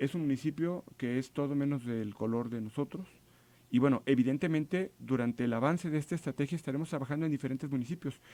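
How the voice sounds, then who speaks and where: At a very fast pace, a man speaks with a dark, mellow tone and a fairly high pitch. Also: ordinary pitch variation, very clean recording, silent background. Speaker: government official. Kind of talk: radio interview.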